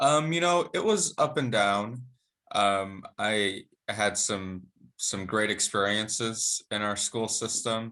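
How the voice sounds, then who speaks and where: Speaking very slowly with an American accent, the voice has a bright, sharp tone and ordinary pitch variation over a quiet background. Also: man, fairly low pitch for a man. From Madison, Wisconsin, US Midwest. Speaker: school board member. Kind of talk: interview. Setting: video call.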